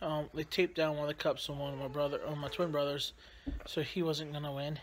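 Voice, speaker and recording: Over noticeable background noise, a man talks at a fairly quick pace in a bright, sharp tone with monotone, flat intonation. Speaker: family vlogger dad. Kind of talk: casual vlog chat. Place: home room. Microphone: phone near.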